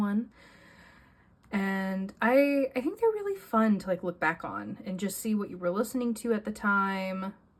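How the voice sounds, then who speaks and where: Somewhat breathy, a woman at medium pitch speaks at a moderate pace. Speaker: journaling youtuber. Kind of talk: casual show-and-tell vlog.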